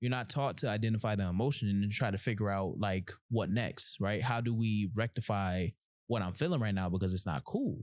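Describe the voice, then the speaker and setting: On a very clean recording with a silent background, a man talks at a fairly quick pace and a fairly low pitch, with ordinary pitch variation and very even loudness. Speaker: podcast host. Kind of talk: casual chat. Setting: in-person podcast recording. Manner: low, quiet.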